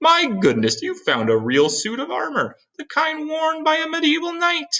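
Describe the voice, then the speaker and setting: A man puts on a character voice at an extremely high pitch, speaking at a moderate pace. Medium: read story. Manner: earnest, professorial.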